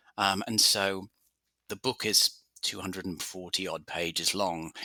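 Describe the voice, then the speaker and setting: A man with an English accent speaks at a fairly slow pace in a very deep, low pitch, his bright, sharp tone flat and monotone in a dry, close sound with no echo. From England, London. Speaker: author and journalist. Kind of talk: interview.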